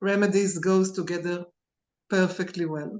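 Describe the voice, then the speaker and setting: A woman talks at a moderate pace. Her pitch is medium. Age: 60s. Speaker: alternative medicine therapist and lecturer. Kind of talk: interview. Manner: halting.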